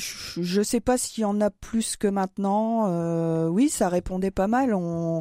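In a very clean recording with a silent background, a woman speaks very slowly at medium pitch. Her tone is dark and mellow, and the sound is dry and close with no echo. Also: ordinary pitch variation, hardly any pauses. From northeastern France. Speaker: diocesan communications worker. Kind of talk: radio interview. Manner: hesitant, many fillers.

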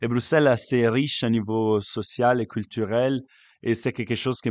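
A man with an Italian accent speaks at a medium pitch, with fairly even intonation. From Italy, Lake Como. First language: Italian (speaking French). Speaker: youth worker and actor. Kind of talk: interview. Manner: halting.

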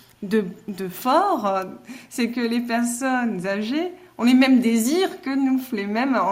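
A woman's high-pitched, lively voice at a very slow pace, with audible room echo. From Alsace, Mulhouse. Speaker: novelist. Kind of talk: interview.

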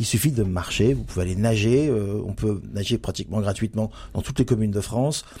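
Fairly low-pitched man at a fairly quick pace with ordinary pitch variation, amid noticeable background noise. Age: 50s. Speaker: general practitioner. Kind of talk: radio interview. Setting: studio. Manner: hesitant, many fillers.

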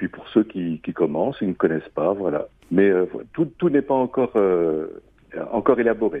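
A man speaks at a moderate pace and fairly low pitch, with very wide pitch swings and big swings in loudness. His delivery has long, frequent pauses. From France, Loire. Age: 50s. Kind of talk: interview. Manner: halting, with repetitions.

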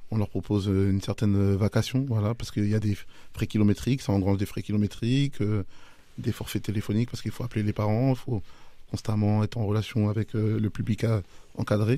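A man talks at a very fast pace with fairly low pitch. His tone is dark and mellow, and his intonation stays fairly even. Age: 30s. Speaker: youth football technical director. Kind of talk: radio interview. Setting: radio studio.

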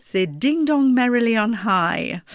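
This speaker has a non-native accent and talks at a very slow pace with lively intonation, in a very clean recording with a silent background. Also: woman. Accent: foreign accent in French. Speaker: radio host. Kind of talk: radio interview.

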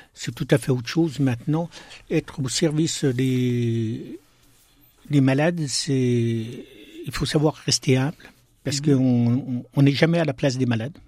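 At a fairly slow pace, a man talks in a dark, mellow tone at a medium pitch with fairly even intonation. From eastern France, Besançon (Franche-Comté). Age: 60s. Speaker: deacon and hospital chaplain. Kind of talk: radio interview. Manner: halting.

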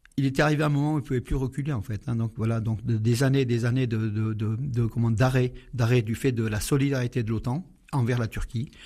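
At a fairly quick pace, a man speaks in a dark, mellow, somewhat breathy tone with fairly even intonation, in a very clean recording with a silent background. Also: medium pitch for a man. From Syria (Aleppo). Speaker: Armenian community association co-president. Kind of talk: radio interview. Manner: halting.

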